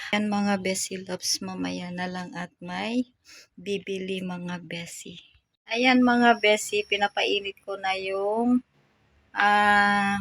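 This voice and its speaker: A very slow woman's voice at medium pitch, with fairly even intonation and big swings in loudness, in a dry, close sound with no echo. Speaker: vlogger. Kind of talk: casual vlog.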